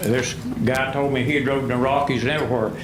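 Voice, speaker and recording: Recorded with audible room echo and noticeable background noise, a man with an Appalachian accent speaks at a fairly high pitch. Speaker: retired coal miner speaking at public hearing. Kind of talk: public comment at county board meeting. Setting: public hearing with microphone. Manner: loud.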